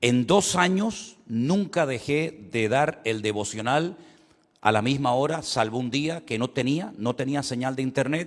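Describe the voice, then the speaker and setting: A man with a Canary Islands accent speaks at a medium pitch and a fairly slow pace. His intonation is lively, and the recording is very clean with a silent background. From Canary Islands, Spain. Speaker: pastor. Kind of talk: sermon. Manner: repetitive, self-interrupting.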